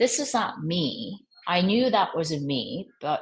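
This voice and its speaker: This woman speaks with a slight Korean accent. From Korean American. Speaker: fashion executive. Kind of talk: podcast interview. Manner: halting.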